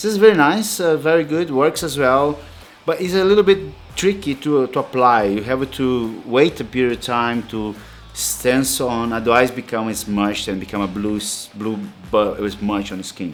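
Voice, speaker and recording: Over music in the background, a man with a non-native accent speaks at a moderate pace in a medium pitch, with very wide pitch swings. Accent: foreign. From outside Europe. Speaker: tattoo artist. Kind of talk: tutorial. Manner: halting, many fillers.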